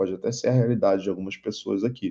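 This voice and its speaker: Dark and mellow in tone, a man speaks at a medium pitch in a Rio de Janeiro accent. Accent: carioca (Rio de Janeiro). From Rio de Janeiro, Brazil. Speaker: investment advisor and instructor. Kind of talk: online lecture.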